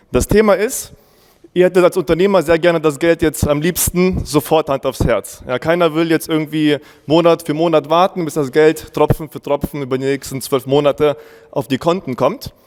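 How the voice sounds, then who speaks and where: Over music in the background, a man with a German accent talks fairly quickly at a fairly high pitch with fairly even intonation, the sound dry and close with no echo. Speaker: agency owner. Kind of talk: conference presentation. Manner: casual.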